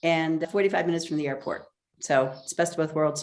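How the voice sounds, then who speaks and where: A woman's fairly low pitch with fairly even intonation, an ordinary speaking voice. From United States, moved around. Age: 60s. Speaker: author. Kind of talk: interview.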